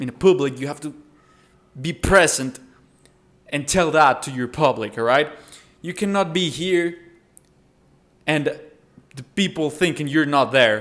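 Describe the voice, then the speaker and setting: A man with a Spanish accent and a fairly high voice at a fairly slow pace, with long, frequent pauses, big swings in loudness and ordinary pitch variation. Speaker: self-improvement content creator. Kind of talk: tutorial. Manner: casual, occasionally halting.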